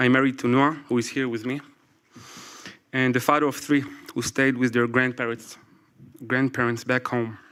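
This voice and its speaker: A man speaks at medium pitch in a flat monotone. His pace is moderate, broken by long, frequent pauses. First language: Hebrew. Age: 40s. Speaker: military reserve investigator. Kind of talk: prepared speech read aloud. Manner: halting.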